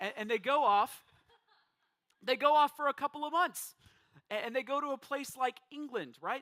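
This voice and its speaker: Raised and projected, a man's bright, sharp voice sits at an extremely high pitch with ordinary pitch variation, moving at a moderate pace with long, frequent pauses in a dry, close sound with no echo. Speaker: pastor. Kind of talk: sermon.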